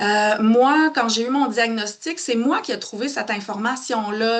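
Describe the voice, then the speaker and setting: A woman with a Quebec accent, high-pitched, at a fairly slow pace. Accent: Québécois French. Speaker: psychotherapist. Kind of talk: live webinar talk. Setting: Facebook live stream. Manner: animated.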